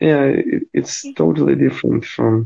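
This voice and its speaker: This speaker talks at a fairly slow pace with a Croatian accent. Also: man. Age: 20s. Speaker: physiotherapy student. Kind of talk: casual chat.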